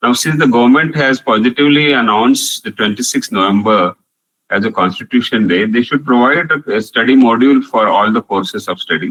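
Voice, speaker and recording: In a Marathi accent, a man speaks at a fairly quick pace with medium pitch and lively intonation, the sound dry and close with no echo. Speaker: professor. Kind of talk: online lecture with Q&A. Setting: online video call.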